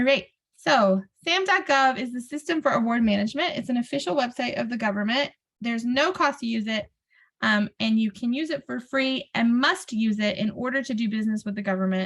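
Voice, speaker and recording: A woman speaks at a moderate pace in a high voice, her pitch swinging very widely. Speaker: brownfields technical assistance presenter. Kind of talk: webinar presentation. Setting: video call webinar.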